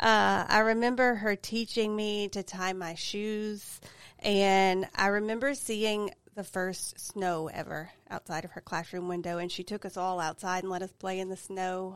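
Speaking at a fairly slow pace with a Louisiana accent, the voice has fairly even intonation on a very clean recording with a silent background. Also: woman, medium pitch for a woman. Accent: Louisiana Southern. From Louisiana, Avoyelles Parish. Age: 40s. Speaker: school principal. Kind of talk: casual interview. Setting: studio.

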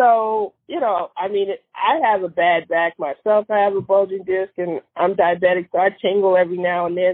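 A plain, everyday voice from a woman at medium pitch, with fairly even intonation, a moderate pace and hardly any pauses. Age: 40s. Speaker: podiatrist. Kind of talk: casual chat.

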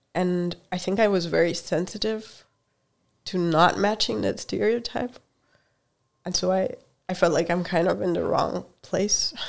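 A speaker with a Hungarian accent talks at a fairly slow pace. Long pauses come often. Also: woman, medium pitch for a woman, ordinary pitch variation. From Hungary. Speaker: computer science professor. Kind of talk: casual interview.

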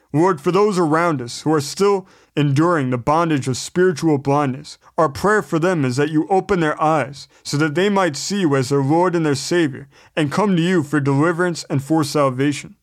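This is an unremarkable speaking voice from a man with a fairly high pitch and ordinary pitch variation. He talks at a moderate pace against a quiet background. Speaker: Bible teacher. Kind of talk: Bible study lesson with scripture reading; earnest spoken prayer, reverent and pleading. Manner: earnest, sincere, measured; fervent, heartfelt, reverent prayer tone.

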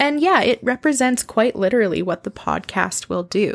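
A woman with a Canadian accent has an unremarkable speaking voice, talking at a moderate pace with ordinary pitch variation and a dry, close sound with no echo. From Canadian prairies, Saskatoon. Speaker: podcast host, literature lecturer. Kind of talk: solo podcast monologue. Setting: home recording.

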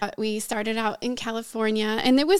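The speaker talks fairly quickly with an American accent. It is a plain, everyday voice. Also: woman. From US Northeast, suburban Philadelphia. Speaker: pastor. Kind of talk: interview testimony.

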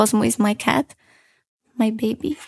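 In a very clean recording with a silent background, a woman with a Romanian accent speaks at a fairly slow pace and fairly high pitch. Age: 20s. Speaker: podcast host. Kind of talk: casual monologue. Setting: home recording in her room.

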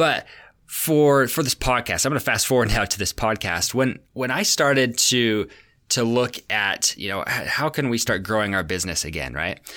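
In a very clean recording with a silent background, a man speaks fairly quickly at a medium pitch, with lively intonation, a bright, sharp tone and vocal fry. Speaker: podcast host. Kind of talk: solo podcast monologue. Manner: fast.

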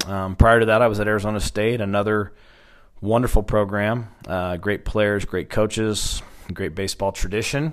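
A man with an American accent speaks in an unremarkable speaking voice. His pitch is fairly low, his intonation fairly even and his pace moderate. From Oklahoma, Stillwater. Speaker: college baseball head coach. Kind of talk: interview.

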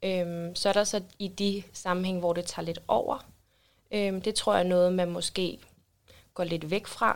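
On a very clean recording with a silent background, a woman speaks at a moderate pace and medium pitch with monotone, flat intonation. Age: 20s. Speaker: social worker. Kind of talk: casual interview. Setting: studio.

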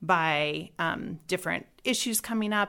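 A woman uses a normal speaking voice at medium pitch with ordinary pitch variation, on a very clean recording with a silent background. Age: 40s. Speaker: homeschooling mother, trained nurse. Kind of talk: interview.

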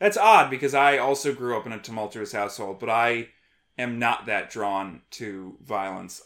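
On a very clean recording with a silent background, a man speaks in a normal speaking voice of medium pitch at a fairly slow pace with ordinary pitch variation. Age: 30s. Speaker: podcast host and war veteran. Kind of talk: casual chat.

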